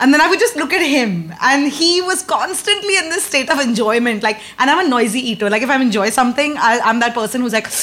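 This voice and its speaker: Over noticeable background noise, a woman with an Indian accent speaks very fast at a high pitch, her pitch swinging very widely. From India, Mumbai. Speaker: comedian. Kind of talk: casual chat before live audience. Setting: comedy club with live audience.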